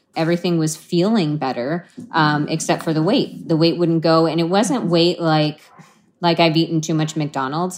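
A woman speaks in an unremarkable speaking voice at a moderate pace, her intonation fairly even. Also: fairly low pitch for a woman. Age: 40s. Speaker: patient. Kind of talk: personal testimony in interview.

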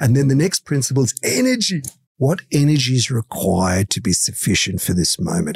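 A man talks fairly quickly with lively intonation and an Australian accent. The sound is dry and close, with no echo. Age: 60s. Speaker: motivational coach. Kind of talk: interview. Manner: animated.

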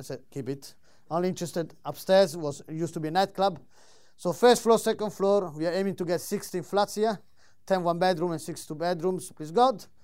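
A man with an Italian accent, high pitch, ordinary pitch variation and a fairly quick pace. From Italy. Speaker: solicitor and property investor. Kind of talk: live presentation. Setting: stage with audience. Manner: animated.

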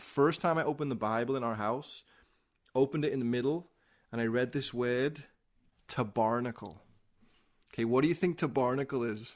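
Speaking in a strong Liverpool accent, a man uses a medium pitch, ordinary pitch variation and an animated tone at a fairly quick pace, broken by long, frequent pauses over a quiet background. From Liverpool, England. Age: 40s. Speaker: former pro skateboarder. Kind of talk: testimony.

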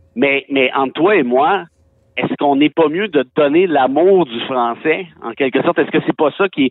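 At a moderate pace, a man with a fairly high voice speaks with ordinary pitch variation. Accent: Quebec. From Quebec, Mont-Laurier region. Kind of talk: casual interview.

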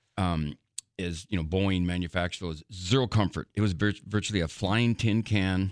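Very deep, low-pitched man with an American accent. The recording is very clean and dry, with a silent background, close sound and no echo. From US Upper Midwest (Grafton, North Dakota). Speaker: son of a WWII veteran sharing his father's memoir. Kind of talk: radio interview. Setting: radio studio.

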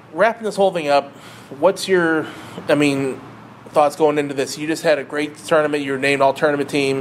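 A man with a fairly high voice, a fairly quick pace and fairly even intonation, over noticeable background noise. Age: 40s. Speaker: podcast host. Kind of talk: casual interview.

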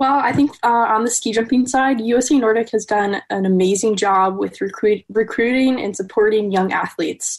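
Here is an ordinary speaking voice: a woman with an American accent and a fairly high pitch. She speaks at a moderate pace with ordinary pitch variation and hardly any pauses. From Wisconsin. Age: 20s. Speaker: ski jumper. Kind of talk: interview.

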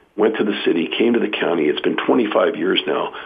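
There is noticeable background noise. A man with a Californian accent speaks at a fairly quick pace. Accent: General American (Californian). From US West Coast, San Jose, California. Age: 60s. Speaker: county politician. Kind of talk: radio interview.

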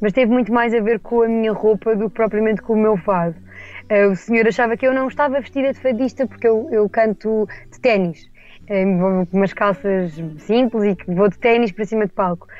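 A woman speaks at a fairly quick pace in a plain, everyday voice, her fairly high pitch carrying ordinary pitch variation. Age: 20s. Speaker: fado singer. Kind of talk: interview.

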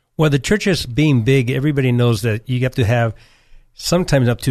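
Against a quiet background, a man with a normal speaking voice moves at a fairly quick pace with fairly even intonation. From California, partly raised in Nicaragua. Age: 50s. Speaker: church elder. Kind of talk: interview testimony.

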